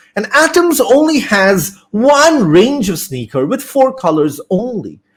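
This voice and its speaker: A man's high voice at a fairly slow pace, with very wide pitch swings. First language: Bengali. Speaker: business studies teacher. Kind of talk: lecture. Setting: online live class. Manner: hesitant, many fillers.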